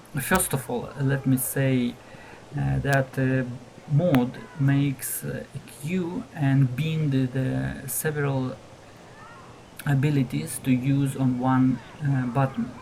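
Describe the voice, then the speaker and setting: The speaker goes at a very slow pace, with long, frequent pauses. Noticeable background noise is present. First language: not English. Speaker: gaming video creator. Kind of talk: tutorial. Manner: halting, many fillers.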